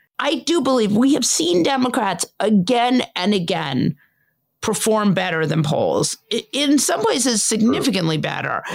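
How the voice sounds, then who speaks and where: At a moderate pace, a woman with a fairly high voice speaks with very wide pitch swings. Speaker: political commentator. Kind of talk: casual political discussion.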